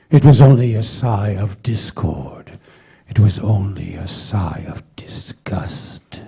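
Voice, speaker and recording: A man puts on a character voice, pitched fairly low. He talks at a fairly slow pace with ordinary pitch variation. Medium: stage play. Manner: brooding, scornful.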